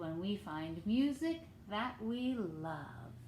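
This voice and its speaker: Using a put-on character voice at a medium pitch, a woman speaks very slowly over clear background noise. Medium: read story.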